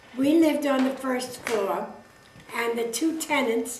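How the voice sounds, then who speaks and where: A woman with a New York accent speaks at a fairly slow pace in a high voice with fairly even intonation, her words carrying audible room echo over noticeable background noise. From New York City (Brooklyn). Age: 90s. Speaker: interviewee recounting family history. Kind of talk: oral history interview. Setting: home interview filmed by her son.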